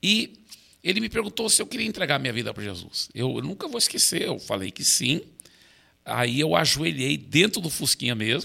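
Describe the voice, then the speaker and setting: Vocal fry runs through a man's fairly high voice, bright and sharp in tone. He moves at a moderate pace with very wide pitch swings. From Brazil, raised by American missionary parents. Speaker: pastor. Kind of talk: interview conversation.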